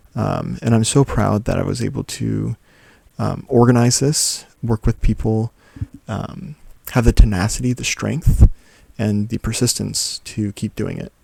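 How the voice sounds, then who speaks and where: The speaker is soft-spoken and talks at a fairly slow pace. The sound is dry and close, with no echo. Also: man. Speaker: journaling vlogger. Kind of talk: casual talk to camera. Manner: soft-spoken, easy going.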